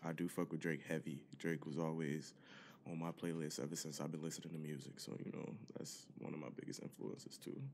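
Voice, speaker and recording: Very deep, low male voice with vocal fry and fairly even intonation. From Detroit, US Midwest. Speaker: rapper and singer. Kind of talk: casual chat.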